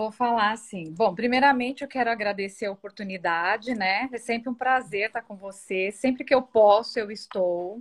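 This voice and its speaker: A woman's fairly high voice at a moderate pace, hardly any pauses, against a quiet background. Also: ordinary pitch variation. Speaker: thrift store owner and image consultant. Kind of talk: interview.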